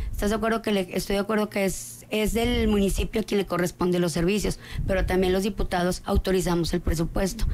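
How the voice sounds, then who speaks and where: A woman speaks at a fairly quick pace with ordinary pitch variation. Light background noise sits behind her. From Coahuila, Mexico. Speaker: political candidate; candidate. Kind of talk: studio interview. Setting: studio. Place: studio. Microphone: studio mic.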